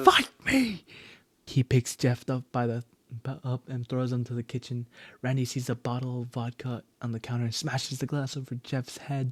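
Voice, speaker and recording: Somewhat breathy and flat in intonation, a man speaks in a monotone at a medium pitch, the sound dry and close with no echo. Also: moderate pace, very clean recording, silent background. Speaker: amateur creepypasta reader. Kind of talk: horror story reading.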